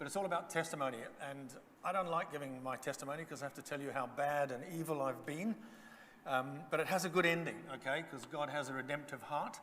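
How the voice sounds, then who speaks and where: A man talks at a very fast pace with fairly high pitch and ordinary pitch variation. Noticeable background noise runs underneath. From Zambia. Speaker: guest speaker. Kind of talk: testimony.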